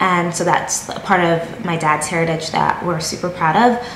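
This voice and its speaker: Over light background noise and audible room echo, a woman talks at a moderate pace in a fairly low pitch. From Connecticut, US (born in Jamaica). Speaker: YouTuber. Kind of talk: casual vlog talk to camera. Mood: playful, amused. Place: home room. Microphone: phone near.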